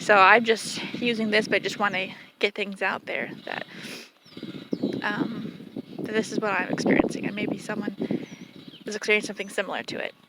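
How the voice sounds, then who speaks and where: A woman with a fairly high pitch and monotone, flat intonation, at a fairly quick pace broken by long, frequent pauses, over noticeable background noise. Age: 30s. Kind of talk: casual personal vlog. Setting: outdoors with animals.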